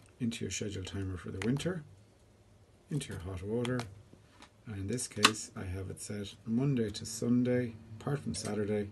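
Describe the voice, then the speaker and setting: Light background noise sits behind speech at a moderate pace. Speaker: homeowner demonstrating controller. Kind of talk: tutorial. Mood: calm, explanatory. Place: home room. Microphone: phone near.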